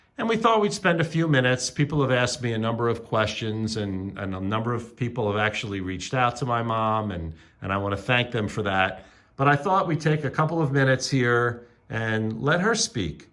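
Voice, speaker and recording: An ordinary speaking voice from a man, medium in pitch, with lively intonation. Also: fairly quick pace. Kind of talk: casual interview questions.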